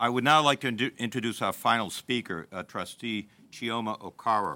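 Bright and sharp in tone, a man speaks at medium pitch in a Massachusetts accent at a fairly quick pace with ordinary pitch variation. The sound is dry and close with no echo, on a very clean recording with a silent background. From Lowell, Massachusetts. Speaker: university president. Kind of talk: ceremony speech.

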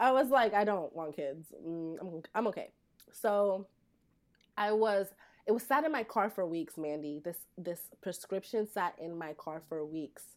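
A woman's medium-pitched voice at a fairly slow pace, lively intonation and big swings in loudness, on a very clean recording with a silent background. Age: 30s. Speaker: PCOS and cannabis advocate. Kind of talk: casual interview. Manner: animated.

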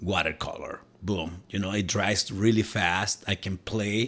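A man with a Spanish accent at a fairly low pitch, fairly slow and fairly even in intonation, in a very clean recording with a silent background. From Mexico, Cuernavaca. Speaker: tattoo artist. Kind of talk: casual chat.

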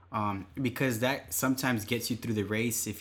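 A man speaks at a fairly quick pace with a fairly low pitch, using a normal speaking voice. The recording is very clean, with a silent background. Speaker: podcast co-host and runner. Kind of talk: casual chat, running tips. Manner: relaxed, conversational.

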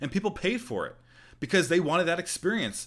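This man's voice carries noticeable vocal fry. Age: 20s. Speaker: podcast host. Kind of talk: solo tech news podcast. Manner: casual, conversational.

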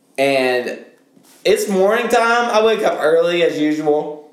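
A high-pitched man in an animated tone with very wide pitch swings, amid audible room echo. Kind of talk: casual chat.

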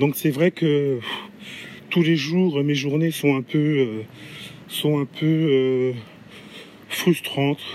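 Very slow and broken by long, frequent pauses, a man's speech keeps a very even loudness and fairly even intonation over noticeable background noise. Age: 30s. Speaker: podcaster and aspiring entrepreneur. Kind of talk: solo podcast monologue. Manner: halting, with many hesitations.

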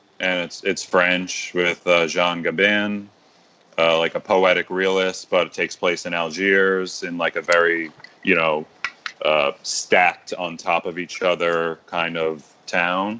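Very deep and low in pitch, a man speaks at a fairly slow pace with monotone, flat intonation over noticeable background noise. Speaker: audio engineer. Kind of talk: casual chat.

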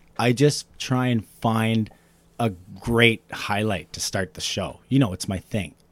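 With an animated tone, a man speaks at a medium pitch and a fairly slow pace, using ordinary pitch variation. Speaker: hockey podcast host. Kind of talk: casual sports podcast banter. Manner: animated, jokey, laughs often.

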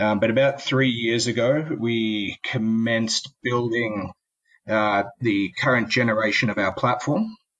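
Speaking at a fairly slow pace, a man uses fairly even intonation. He has a medium pitch and an Australian accent. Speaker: tech company founder. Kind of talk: interview.

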